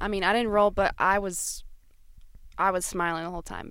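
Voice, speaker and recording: With an American accent, a woman of medium pitch talks at a fairly quick pace in a plain, everyday voice. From Florida. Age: 20s. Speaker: travel podcast co-host. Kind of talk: casual chat.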